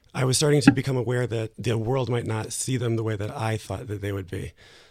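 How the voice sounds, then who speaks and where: On a very clean recording with a silent background, a man with an American accent has an unremarkable speaking voice at medium pitch with fairly even intonation. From US, New Jersey. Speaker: writer. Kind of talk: interview.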